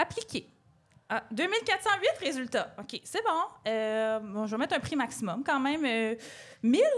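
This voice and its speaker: Very slowly, a woman speaks in a high pitch with very wide pitch swings. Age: 30s. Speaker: podcast co-host. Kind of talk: comedy monologue. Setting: stage with audience.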